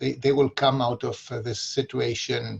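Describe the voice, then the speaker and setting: Somewhat breathy and with a Greek accent, a man speaks at a moderate pace with a medium pitch and fairly even intonation. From Greece. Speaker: local political candidate. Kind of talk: community forum talk. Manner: halting, many fillers.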